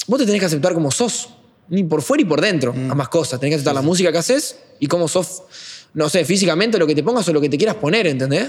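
A man's high-pitched, very fast speech with lively intonation and very even loudness. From Uruguay (Paysandú, then Montevideo from age 10). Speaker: trap musician. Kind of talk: casual interview chat.

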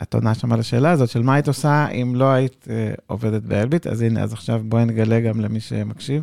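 In a very clean recording with a silent background, a man at a medium pitch speaks at a very fast pace with hardly any pauses and fairly even intonation. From Israel. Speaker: podcast host. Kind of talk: interview. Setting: studio.

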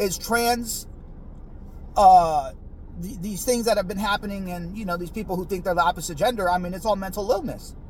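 Speaking at a fairly quick pace with an American accent, a man uses a high pitch and ordinary pitch variation. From United States, Mexican American. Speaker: podcast host. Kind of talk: solo political commentary monologue. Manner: casual, profane, repetitive filler; halting, frequent stammering repeats.

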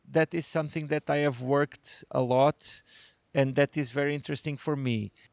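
Speaking with a Portuguese accent, a man keeps his intonation fairly even. The recording is very clean, with a silent background. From Portugal, rural Alentejo village. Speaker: novelist. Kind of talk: interview. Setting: literature festival. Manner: hesitant.

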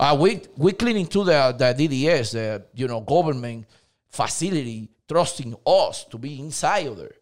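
A man with a Dominican accent speaks at a fairly high pitch with lively intonation. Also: moderate pace, big swings in loudness. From Dominican Republic. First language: Spanish. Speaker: cleaning company owner. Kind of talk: casual interview. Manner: halting, non-native grammar.

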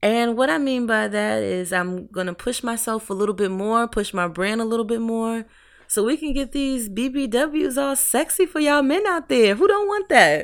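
Delivered in a normal speaking voice at a moderate pace, the speech has lively intonation and hardly any pauses. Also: woman, fairly high pitch for a woman. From Brooklyn, New York, raised in Hampton Roads, Virginia. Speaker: lingerie designer and business owner. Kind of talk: casual interview.

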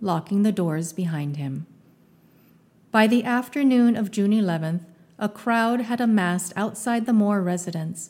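Dark and mellow in tone, a woman's fairly high-pitched voice moves at a fairly slow pace with ordinary pitch variation. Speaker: podcast narrator. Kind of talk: true-crime narration, scripted. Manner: measured, grave, steady storytelling pace.

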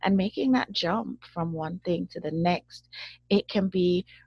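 Slowish in pace and fairly low in pitch, a woman talks in an unremarkable speaking voice. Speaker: podcast host. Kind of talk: casual interview. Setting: video call.

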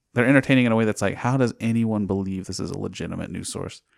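On a very clean recording with a silent background and a dry, close sound with no echo, a man uses an ordinary speaking voice at a fairly low pitch and a fairly quick pace with ordinary pitch variation. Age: 20s. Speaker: podcast host. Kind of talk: casual chat.

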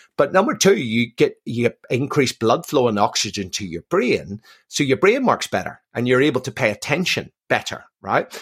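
With a Belfast accent, a man speaks in a somewhat breathy medium-pitched voice with very wide pitch swings and hardly any pauses, in a very clean, silent recording with a dry, close sound and no echo. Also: moderate pace. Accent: Belfast Northern Irish. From Northern Ireland, Belfast. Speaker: military veteran and performance institute director. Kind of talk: podcast interview. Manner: repeats words when starting sentences.

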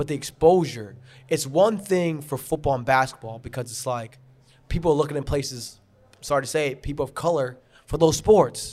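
With a New York accent, a man talks at a fairly quick pace in a fairly high pitch, with ordinary pitch variation and big swings in loudness. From New York, Long Island (Garden City). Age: 20s. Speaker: lacrosse coach. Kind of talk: casual chat. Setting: brewery.

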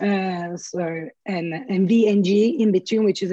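The tone is dark and mellow. This woman keeps to a moderate pace. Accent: Italian. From Italy. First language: Italian. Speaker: flight attendant and artist. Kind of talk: casual interview chat. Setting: video call.

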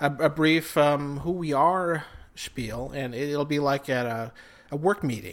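With an Upper Midwest accent, a man talks at a fairly slow pace with a fairly high pitch and ordinary pitch variation. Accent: Upper Midwest American. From South Dakota. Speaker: podcast co-host, musician. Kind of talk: casual chat. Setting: home kitchen.

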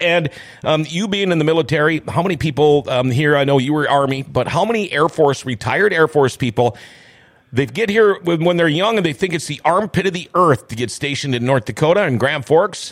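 A man with an Upper Midwest accent, fairly high in pitch, fairly quick, with lively intonation. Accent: Upper Midwest American. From northwestern Minnesota, US. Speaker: radio host. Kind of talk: casual chat. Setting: studio.

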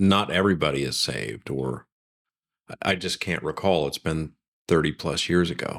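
On a very clean recording with a silent background, a man with vocal fry speaks at a fairly slow pace with ordinary pitch variation. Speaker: host's husband, churchgoer. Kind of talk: casual reminiscing conversation. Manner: halting, with frequent repeated words.

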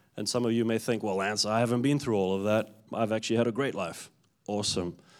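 The speaker has a South African accent and a moderate pace. Intonation stays fairly even on a very clean recording with a silent background. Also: man. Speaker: church minister giving testimony. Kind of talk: testimony. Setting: stage with audience at a church.

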